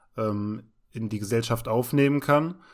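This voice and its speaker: Speaking at a fairly slow pace, a man keeps a medium pitch. The recording is very clean, with a silent background. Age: 30s. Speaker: podcast co-host, trainee special-needs care worker. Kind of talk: casual chat.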